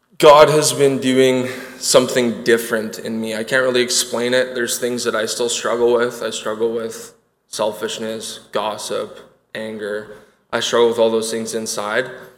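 Audible room echo surrounds a man with a Canadian accent speaking at a moderate pace in a monotone, flat intonation. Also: medium pitch for a man. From Winnipeg, Manitoba, Canada. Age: 20s. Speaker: recovery program student. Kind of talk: personal testimony. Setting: church stage with audience.

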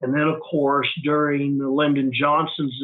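A fairly high-pitched man with an American accent. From western Oklahoma. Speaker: retired university president. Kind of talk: interview.

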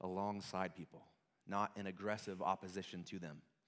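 An unremarkable speaking voice from a man, fairly low in pitch, at a moderate pace, in a very clean recording with a silent background. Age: 30s. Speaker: worship pastor. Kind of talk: sermon.

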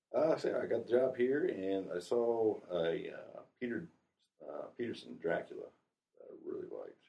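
A man speaks at a moderate pace. He leaves long pauses, and often. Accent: American. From Ohio. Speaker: military veteran, company employee. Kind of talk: interview.

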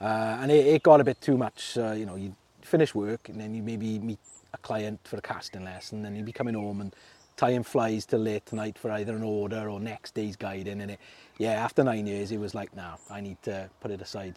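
A man with a Welsh Valleys accent talks at a fairly quick pace in a fairly low, dark, mellow voice with big swings in loudness, recorded with a dry, close sound and no echo. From South Wales. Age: 40s. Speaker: fly tyer and angler. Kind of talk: casual chat. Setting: outdoors by a river. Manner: hesitant, many fillers.

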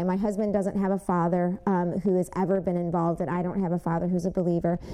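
A woman with a Michigan accent speaks at a medium pitch. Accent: Midwestern US (Michigan). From Michigan, Westland. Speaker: church member giving testimony. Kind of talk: testimony.

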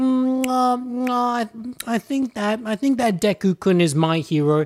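Putting on a character voice, a man speaks very slowly at an extremely high pitch with lively intonation, in a very clean, dry, close recording with a silent background and no echo. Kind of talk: casual, nerdy. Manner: mocking imitation.

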